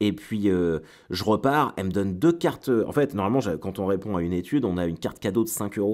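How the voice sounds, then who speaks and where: A man with a fairly low pitch and lively intonation is heard on a very clean recording with a silent background. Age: 30s. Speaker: comedian. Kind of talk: casual chat. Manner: halting.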